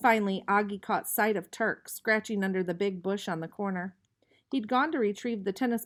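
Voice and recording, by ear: The background is quiet as a text is read aloud in a natural voice. Intonation stays fairly even.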